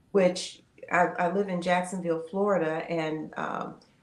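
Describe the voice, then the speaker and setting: Against noticeable background noise, a woman talks at a fairly low pitch with fairly even intonation. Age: 70s. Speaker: retired educator and pastor's wife. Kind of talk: interview testimony.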